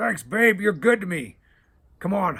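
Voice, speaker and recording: A man performs a raspy, put-on character voice, high in pitch, with lively intonation at a moderate pace. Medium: read story. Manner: lazy, casual, calls her babe.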